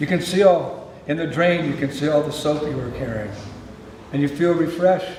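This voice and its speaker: In an American accent, a man speaks at a moderate pace with a fairly high pitch and ordinary pitch variation, with audible room echo and noticeable background noise. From US West Coast, San Francisco. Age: old. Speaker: spiritual teacher. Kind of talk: spiritual talk.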